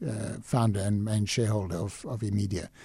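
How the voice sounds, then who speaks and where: The tone is dark and mellow. The voice sounds somewhat breathy. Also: man. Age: 60s. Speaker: conservation businessman. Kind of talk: radio interview. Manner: hesitant, repeats words.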